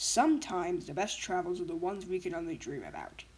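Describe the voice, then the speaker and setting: A woman uses a put-on character voice, growling at medium pitch. She speaks very fast over clear background noise. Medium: fan dub.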